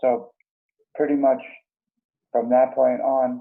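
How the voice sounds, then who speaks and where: A man speaks at medium pitch. He has an American accent. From US Northeast, Long Island, New York. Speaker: suicide survivor, former punk musician. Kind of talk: interview. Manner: brief, matter-of-fact answers.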